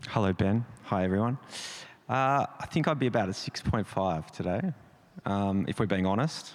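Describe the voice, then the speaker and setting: A man's fairly low voice in an Australian accent, moderate in pace with ordinary pitch variation, on a very clean recording with a silent background. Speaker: creative director. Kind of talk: panel discussion.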